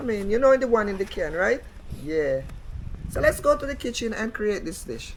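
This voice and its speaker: A voice with very wide pitch swings speaks at a moderate pace over noticeable background noise. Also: woman, fairly high pitch for a woman. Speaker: cooking channel host. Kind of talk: cooking tutorial. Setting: home kitchen.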